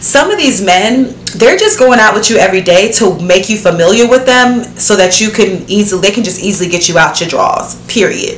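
Over light background noise and audible room echo, a woman talks at a fairly quick pace with hardly any pauses and ordinary pitch variation. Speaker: vlogger. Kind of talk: casual vlog chat. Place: home room.

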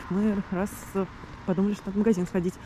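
Over noticeable background noise, a woman rushes at a very fast pace in a monotone, flat intonation. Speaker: vlogger. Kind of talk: video diary monologue. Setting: outdoors, walking to the sea. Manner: halting, with fillers and restarts.

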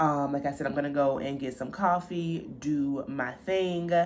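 At a moderate pace, a woman speaks with a very deep, low pitch against light background noise. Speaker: style vlogger. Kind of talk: casual vlog chat. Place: home room. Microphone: phone near.

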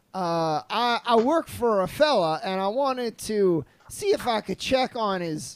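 A man's put-on character voice, drawling at a fairly slow pace, high-pitched, raised and projected, on a very clean recording with a silent background. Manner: folksy, drawling, mangled idioms.

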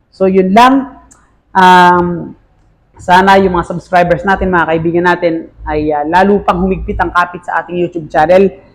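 A man talks at a moderate pace in a high pitch. His intonation is fairly even. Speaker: elementary school teacher and YouTuber. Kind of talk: casual vlog monologue.

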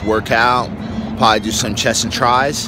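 A man talks with fairly even intonation in a dry sound without echo, over noticeable background noise. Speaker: fitness coach vlogger. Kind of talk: casual vlog chat. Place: waterside. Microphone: phone near.

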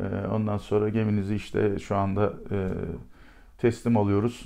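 Against a quiet background, a man speaks at a fairly slow pace. His tone is dark and mellow. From Turkey. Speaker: retired special forces commander. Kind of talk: storytelling interview. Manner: animated; hesitant fillers. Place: office.

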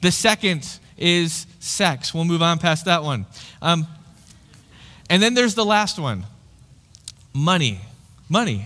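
Bright, sharp male voice with lively intonation at a fairly slow pace. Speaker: pastor. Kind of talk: sermon. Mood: light, friendly, humorous. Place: church. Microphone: headset.

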